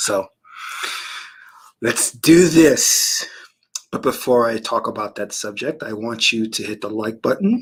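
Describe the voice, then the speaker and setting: Putting on a raspy character voice at a medium pitch, a man speaks at a fairly slow pace with long, frequent pauses. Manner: slow, deliberate.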